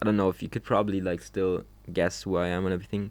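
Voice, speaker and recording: Vocal fry runs through a man's very deep, low voice. He speaks at a fairly quick pace with fairly even intonation. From Germany, Trier. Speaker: social media creator. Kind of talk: casual monologue. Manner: halting; uneven pitch.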